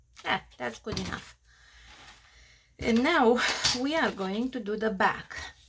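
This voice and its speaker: Speaking at a fairly slow pace with long, frequent pauses, a woman with a strong Romanian accent uses a fairly high pitch and ordinary pitch variation. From Australia, Romanian family. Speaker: crafter. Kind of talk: tutorial. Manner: halting.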